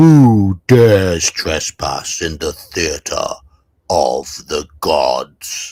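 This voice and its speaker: A man's loud, booming, put-on character voice at a very slow pace. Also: fairly low pitch for a man. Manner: theatrical, dramatic.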